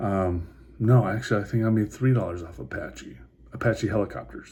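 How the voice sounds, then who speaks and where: Quiet and somewhat breathy, a man speaks at a moderate pace in a fairly low pitch with ordinary pitch variation. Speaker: vlogger talking stocks and crypto. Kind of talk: casual vlog monologue. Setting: motel room at night. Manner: hushed, keeping quiet; halting, many fillers and repeats.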